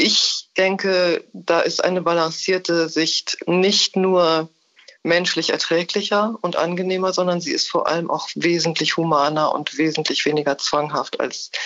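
Very slow delivery at a very even loudness. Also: woman. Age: 60s. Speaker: theologian and writer. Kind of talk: interview. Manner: formal.

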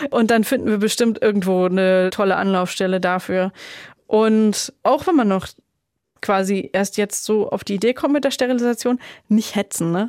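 This woman has a plain, everyday voice, fairly high in pitch with ordinary pitch variation, speaking at a moderate pace on a very clean recording with a silent background. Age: 30s. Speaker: childfree woman, sterilized, runs an advocacy group. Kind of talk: interview, personal story.

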